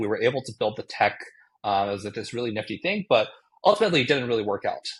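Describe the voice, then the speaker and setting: Against a quiet background, a man of medium pitch speaks with a Japanese accent. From Japan (Tokyo). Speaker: tech startup founder. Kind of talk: podcast interview. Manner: casual, with frequent fillers.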